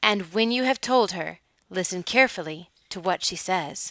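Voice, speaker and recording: This is a put-on character voice. The recording is very clean, with a silent background. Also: woman, medium pitch for a woman, moderate pace. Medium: read story. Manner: excitable, shrieking.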